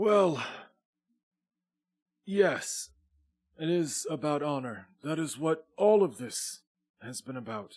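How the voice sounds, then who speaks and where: A man puts on a character voice at a fairly high pitch. He goes at a fairly slow pace with long, frequent pauses. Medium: actual play. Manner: stately, measured.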